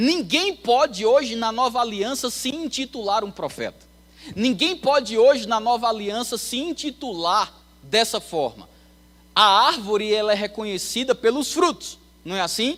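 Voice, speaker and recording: A man speaks at a fairly slow pace with lively intonation and an extremely high pitch. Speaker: Bible school teacher and preacher. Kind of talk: sermon.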